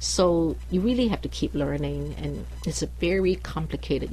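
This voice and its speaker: A woman with a Chinese accent at a moderate pace. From China or Taiwan, foreign born Chinese. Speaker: immigration lawyer. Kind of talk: radio interview. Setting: radio studio.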